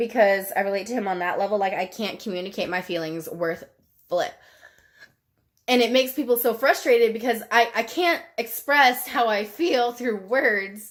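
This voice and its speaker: A woman speaks with an American accent and lively intonation. Her pace is moderate. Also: fairly high pitch for a woman. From Texas, small town. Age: 20s. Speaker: YouTuber. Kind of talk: Q&A casual vlog. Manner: casual, rambling chatty.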